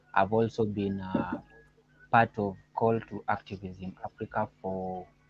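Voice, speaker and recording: A fairly low-pitched man with monotone, flat intonation at a fairly slow pace, in a dry, close sound with no echo, amid noticeable background noise. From Kenya. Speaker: humanist activist. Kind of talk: self-introduction. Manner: halting.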